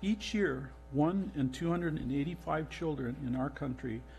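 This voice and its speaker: Music plays in the background as a man speaks. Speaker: council member presiding. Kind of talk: formal proclamation reading. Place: hall. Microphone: podium.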